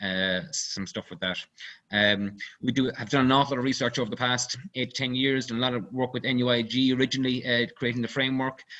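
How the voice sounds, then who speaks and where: Speaking with an Irish accent, a man has a medium pitch and a bright, sharp tone against a quiet background. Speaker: company CEO, engineer. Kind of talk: webinar presentation. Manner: fast; halting, many fillers.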